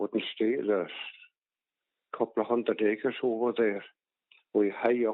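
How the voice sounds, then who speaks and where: Speaking in a Donegal accent at a medium pitch and moderate pace, a man keeps a monotone, flat intonation and very even loudness, with long, frequent pauses. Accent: Donegal Irish. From Ireland, County Donegal. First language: Irish. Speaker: farmer. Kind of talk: oral history interview. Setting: phone call. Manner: halting.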